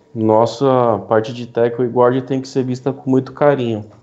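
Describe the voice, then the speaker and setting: A man speaks at a medium pitch. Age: 30s. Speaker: NFL podcast panelist. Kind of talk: casual chat.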